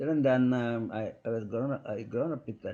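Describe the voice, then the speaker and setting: The voice has a dark, mellow tone and comes with a Kannada accent. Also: man. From South India. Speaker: physician. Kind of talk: podcast interview. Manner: halting.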